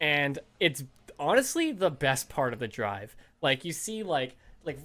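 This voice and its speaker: An animated tone with a Canadian accent, on a very clean recording over a silent background. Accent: Canadian, long O's. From Canada, Toronto area. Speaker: podcast co-host. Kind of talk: casual chat.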